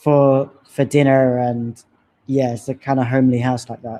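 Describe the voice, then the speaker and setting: At a moderate pace, the speaker talks in an English accent against a quiet background. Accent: English accent, drops T's. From London, England. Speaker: personal heritage presenter. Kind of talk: presentation narrating slideshow of own history. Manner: casual, hesitant with fillers.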